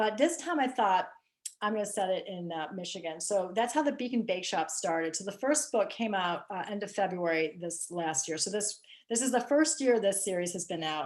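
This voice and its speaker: Using lively intonation and a moderate pace, a woman with a US Midwestern accent speaks at a medium pitch. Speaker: mystery author. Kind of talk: casual interview. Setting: video call.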